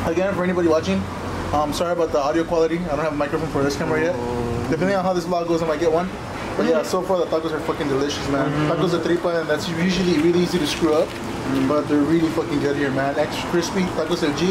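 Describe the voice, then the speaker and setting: Loud background noise fills the recording. A man talks at a very fast pace. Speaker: vlogger. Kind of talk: casual vlog chat. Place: street. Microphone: camera far.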